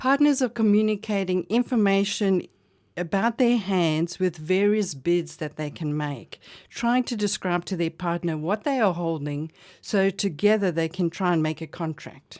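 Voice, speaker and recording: A woman with a South African accent speaks at a moderate pace in a medium pitch. The recording is very clean, with a silent background. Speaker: bridge club director. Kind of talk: radio interview. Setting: radio studio.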